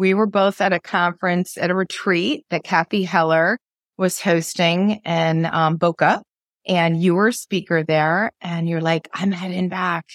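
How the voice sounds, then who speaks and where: On a very clean recording with a silent background and a dry, close sound with no echo, a woman with an American accent speaks in an unremarkable speaking voice, fairly low in pitch, at a fairly slow pace with fairly even intonation. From Maine, US. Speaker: podcast host. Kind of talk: casual interview chat.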